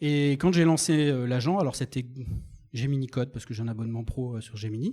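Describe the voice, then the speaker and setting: This man's tone is dark and mellow, at a medium pitch. He moves at a fairly quick pace with ordinary pitch variation. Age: 50s. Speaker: software developer and conference speaker. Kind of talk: conference talk. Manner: animated.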